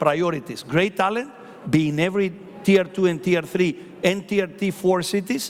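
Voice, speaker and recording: Over noticeable background noise, a man with a high voice talks at a moderate pace, animated in tone and lively in intonation. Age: 60s. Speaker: hotel company executive. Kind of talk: conference panel talk.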